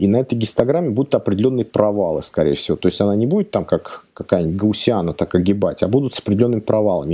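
This man's voice sits at a medium pitch and has a dark, mellow tone. His intonation is lively. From Moscow region, Russia. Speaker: agile coach. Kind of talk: casual chat.

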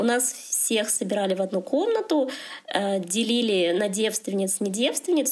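Against noticeable background noise, a woman speaks at a moderate pace with a fairly high pitch and ordinary pitch variation. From Russia, Chelyabinsk. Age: 30s. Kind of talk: casual chat. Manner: halting.

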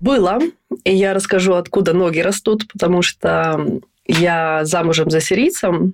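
This woman has an unremarkable speaking voice, fairly low in pitch with ordinary pitch variation, keeping a very even loudness at a fairly slow pace. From Estonia. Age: 30s. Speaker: stylist and blogger. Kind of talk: casual chat. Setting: video call.

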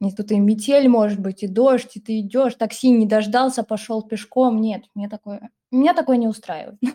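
With a dark, mellow tone and a fairly high pitch, a woman talks at a moderate pace in a somewhat breathy voice, hardly pausing, recorded dry and close with no echo. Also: ordinary pitch variation. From Russia, Samara region. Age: 20s. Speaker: former teacher, online school technical specialist. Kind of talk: casual chat.

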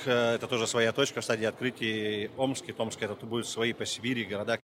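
Speaking at a fairly quick pace with hardly any pauses, a man holds a medium pitch in a monotone, flat delivery. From Russia, Siberia (Abakan, Khakassia). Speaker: food delivery business founder. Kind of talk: interview. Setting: trade exhibition.

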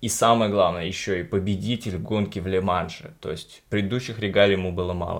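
A man talks at a fairly quick pace in a fairly low voice, with fairly even intonation and hardly any pauses. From Uzbekistan. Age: 20s. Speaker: podcast host. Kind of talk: casual interview; show introduction. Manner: hesitant, with fillers.

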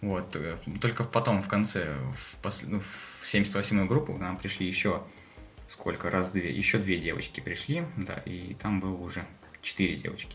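The speaker goes at a fairly slow pace with ordinary pitch variation and long, frequent pauses, with audible room echo and noticeable background noise. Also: man, very deep, low pitch for a man. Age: 20s. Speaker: military doctor. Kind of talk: casual chat. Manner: halting.

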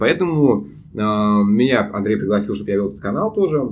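A man at a fairly quick pace, lively intonation, and audible room echo. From Russia, Saint Petersburg. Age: 20s. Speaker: international student and YouTube producer. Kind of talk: casual chat.

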